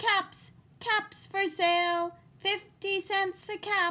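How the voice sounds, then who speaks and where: A woman puts on a squeaky character voice at an extremely high pitch. She talks at a very slow pace with fairly even intonation. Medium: read story.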